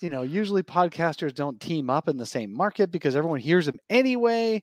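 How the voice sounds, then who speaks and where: A man speaks at a fairly quick pace and high pitch with very wide pitch swings, over a quiet background in a dry, close sound with no echo. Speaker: podcast host. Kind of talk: casual sports talk podcast. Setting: audio-only podcast.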